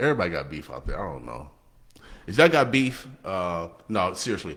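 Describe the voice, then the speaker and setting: This man has a very deep, low pitch and an American accent, talking at a fairly quick pace in an animated tone. His pitch swings very widely and his loudness rises and falls sharply. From Nebraska. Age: 60s. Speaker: radio host. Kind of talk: casual chat. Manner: halting.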